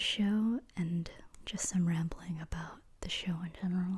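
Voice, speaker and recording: Someone whispers quietly at a fairly slow pace. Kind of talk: ASMR trivia ramble to the listener. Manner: quiet, whispered.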